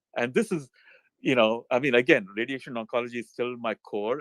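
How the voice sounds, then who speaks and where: Medium-pitched male voice in a dry, close sound with no echo. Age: 60s. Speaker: physician, radiation oncologist. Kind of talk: casual chat. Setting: online audio room.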